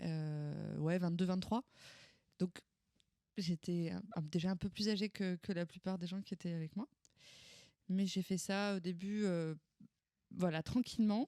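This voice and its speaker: Woman's dark, mellow voice at a fairly slow pace, with fairly even intonation and long, frequent pauses. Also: medium pitch for a woman, dry, close sound with no echo. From France, Val-d'Oise (Paris suburbs). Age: 30s. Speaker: opera singer. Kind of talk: interview. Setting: at her home. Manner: hesitant, many fillers.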